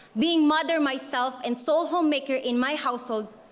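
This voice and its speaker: With music playing in the background, a woman in a strong Filipino accent speaks at a fairly slow pace with ordinary pitch variation. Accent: thick Filipino. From Philippines. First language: Filipino (Cebuano/Tagalog). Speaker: graduating student speaker. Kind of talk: commencement speech. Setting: stage with audience.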